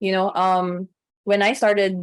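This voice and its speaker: A woman at medium pitch speaks at a fairly slow pace. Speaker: personality typing content creator. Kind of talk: casual chat.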